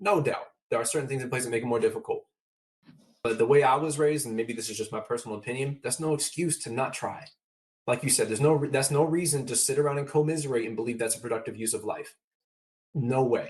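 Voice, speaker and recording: A man speaks at a very fast pace at medium pitch, with ordinary pitch variation. His voice is somewhat breathy. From Downey, California (Los Angeles area). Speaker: motivational speaker. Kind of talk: casual interview conversation. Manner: animated.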